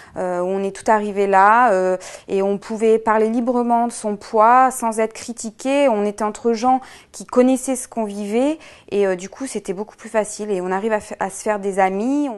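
A woman speaks at a moderate pace with a fairly high voice and fairly even intonation. Her loudness swings widely, and the background is quiet. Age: 20s. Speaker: weight-loss program customer; interviewee. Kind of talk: testimonial. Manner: hesitant, frequent fillers and repetitions. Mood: calm, content. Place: shop.

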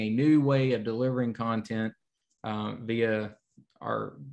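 Medium pitch from a man at a moderate pace, with little pitch movement

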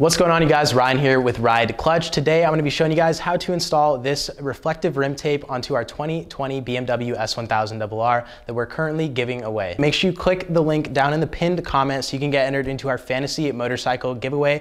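The man's pitch moves in an ordinary way. He keeps up a fairly quick pace. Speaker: presenter. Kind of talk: tutorial. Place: studio.

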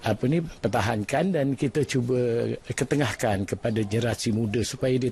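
This somewhat breathy voice has a dark, mellow tone and moves at a moderate pace, with a dry sound and no echo. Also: man. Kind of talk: interview answer. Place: workshop. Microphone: handheld.

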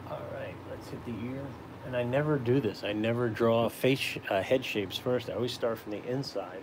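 Over noticeable background noise, a man speaks with fairly even intonation. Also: moderate pace. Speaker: caricature artist livestreamer. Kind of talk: casual live drawing stream. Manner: casual, chatty, friendly. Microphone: phone near.

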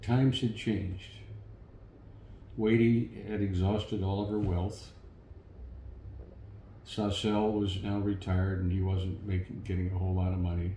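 With an American accent, a man speaks in a fairly low, monotone, flat voice with long, frequent pauses, over light background noise and audible room echo. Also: moderate pace. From St. Louis, Missouri. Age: 70s. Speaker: war veteran. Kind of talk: interview answer. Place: home room.

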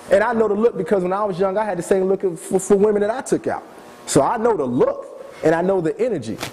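Against noticeable background noise, a man talks at a very fast pace with lively intonation. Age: 30s. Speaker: former TV producer. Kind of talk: lecture.

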